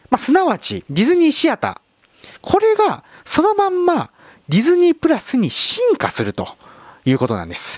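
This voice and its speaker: A man speaks at a moderate pace. The sound is dry with no echo, and the background is quiet. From Kagawa, Shikoku, Japan. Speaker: film YouTuber; film channel host. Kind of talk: video monologue explaining a streaming service. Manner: polite, somewhat formal with fillers. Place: home room. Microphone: handheld.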